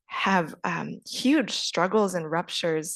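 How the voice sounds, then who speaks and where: A woman's fairly low, unremarkable speaking voice with an American accent, fairly slow with ordinary pitch variation, in a very clean, dry, close recording with a silent background and no echo. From United States. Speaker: panelist, former government advisor. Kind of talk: panel discussion.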